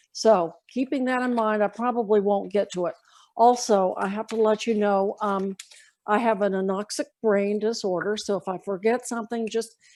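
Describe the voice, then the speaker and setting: The pace is moderate in an unremarkable speaking voice. Its intonation is fairly even. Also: woman, fairly high pitch for a woman, very clean recording, silent background. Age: 60s. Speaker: guest panelist. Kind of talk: personal testimony.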